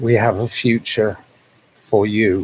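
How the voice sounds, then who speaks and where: Somewhat breathy, the voice keeps a fairly even intonation. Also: man. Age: 60s. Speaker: vlogger. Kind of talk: casual monologue. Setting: livestream. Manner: halting.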